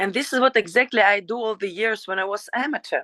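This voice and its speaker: A woman with a Ukrainian accent, medium in pitch with a bright, sharp tone and ordinary pitch variation, at a moderate pace, with a dry, close sound with no echo and a quiet background. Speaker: professional fighter. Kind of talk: interview. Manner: halting.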